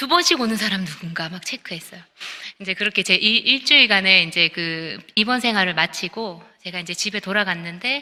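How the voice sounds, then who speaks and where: Bright and sharp in tone, a woman of medium pitch speaks at a fairly quick pace with ordinary pitch variation. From Busan, South Korea. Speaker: composer. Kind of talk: testimony.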